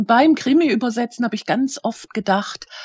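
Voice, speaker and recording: At a moderate pace, a woman speaks in a fairly high, somewhat breathy voice with lively intonation. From Germany, Schwäbisch Hall (Hohenlohe). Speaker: crime novelist. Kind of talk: interview.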